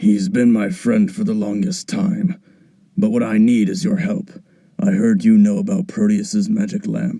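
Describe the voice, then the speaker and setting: A raspy, high-pitched put-on character voice from a man at a moderate pace. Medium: machinima. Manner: polite, addresses elder as sir.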